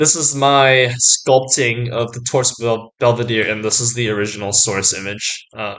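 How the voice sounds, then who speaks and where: A man talks at a moderate pace with medium pitch and fairly even intonation. He hardly pauses at all. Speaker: art student YouTuber. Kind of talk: casual educational vlog. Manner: many filler words, hesitant.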